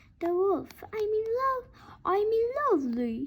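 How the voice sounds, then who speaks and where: A woman puts on a squeaky character voice at an extremely high pitch. Her pitch swings very widely as she speaks at a fairly slow pace. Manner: mocking, feigning sweetness.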